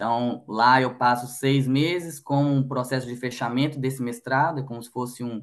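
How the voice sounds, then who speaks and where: A man with a strong Minas Gerais accent, moderate pace with hardly any pauses, monotone, flat intonation and big swings in loudness. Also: medium pitch for a man. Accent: strong Minas Gerais (mineiro). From Minas Gerais, Belo Horizonte, Brazil. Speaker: logistics manager. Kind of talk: podcast interview.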